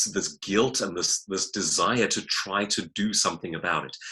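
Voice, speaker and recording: A man with a South African accent speaks at a moderate pace in a bright, sharp tone. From South Africa, Johannesburg. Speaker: novelist and public speaker. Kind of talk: interview. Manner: hesitant with fillers.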